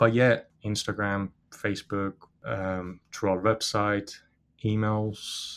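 A man speaks very slowly in a fairly low, monotone, flat voice. His pauses are long and frequent. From Iran. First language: Persian. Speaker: business founder. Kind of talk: interview. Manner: hesitant, with fillers.

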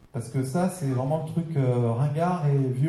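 A man speaks with a fairly high pitch. Audible room echo surrounds the voice. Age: 30s. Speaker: social media trainer and speaker. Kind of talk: lecture. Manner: casual, hesitant with fillers.

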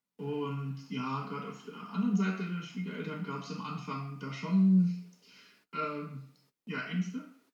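Music plays behind a man speaking high and fairly slowly, with ordinary pitch variation, big swings in loudness, and audible room echo. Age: 30s. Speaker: vegan family congress organizer. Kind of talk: interview. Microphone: poor recording quality.

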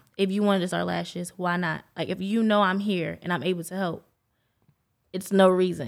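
With an American accent, a woman speaks at a fairly quick pace in an ordinary speaking voice, her pitch medium and her intonation fairly even. The recording is very clean, with a silent background. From New York. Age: young. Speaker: lash technician. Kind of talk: casual chat. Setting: studio.

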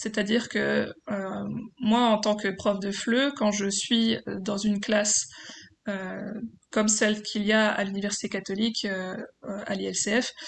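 Fairly high-pitched female speech with fairly even intonation. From France, Franche-Comté (Besançon). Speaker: PhD student and French-as-foreign-language teacher. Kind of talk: interview testimony. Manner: hesitant.

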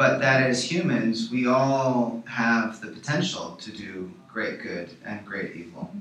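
A man at medium pitch talks at a very slow pace with hardly any pauses, lively intonation and big swings in loudness. Noticeable background noise is present. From Chicago, US Midwest. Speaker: documentary filmmaker. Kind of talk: radio interview. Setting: radio studio.

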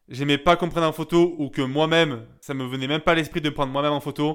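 Fairly quick and fairly even in intonation, a man talks at a fairly high pitch in an ordinary speaking voice. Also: very clean recording, silent background. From southern France, Gap (Hautes-Alpes). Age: 20s. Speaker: young entrepreneur. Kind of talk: personal monologue.

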